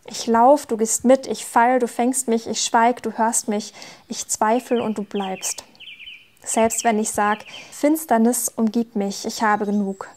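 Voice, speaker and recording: A woman's fairly high voice at a very slow pace, fairly even in intonation, over noticeable background noise. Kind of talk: poetry slam performance.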